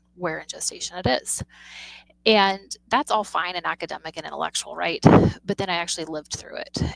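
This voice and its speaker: Speaking at a fairly quick pace, a woman talks with an American accent. The sound is dry and close with no echo. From Missouri. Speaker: physician and author. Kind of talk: interview conversation.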